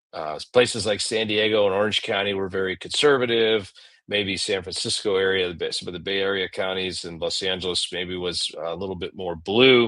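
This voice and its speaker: With an American accent, a man speaks fairly quickly and with hardly any pauses in a fairly low voice with a bright, sharp tone over a quiet background. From Southern California (Oceanside). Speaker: political candidate. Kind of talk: podcast interview. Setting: podcast studio.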